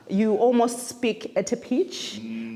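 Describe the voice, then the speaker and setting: A woman's fairly high voice with very wide pitch swings, against noticeable background noise. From Zimbabwe. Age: young. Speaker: Anglican priest. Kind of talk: interview answer.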